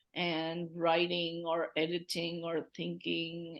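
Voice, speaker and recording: Someone speaks at a very slow pace with a Tamil accent. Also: woman. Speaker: poet. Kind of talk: casual chat. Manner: halting.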